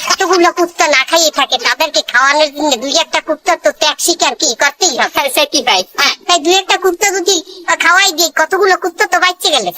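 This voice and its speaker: Here is a cartoonish character voice at an extremely high pitch. It moves at a fairly quick pace. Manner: fast-talking, evasive.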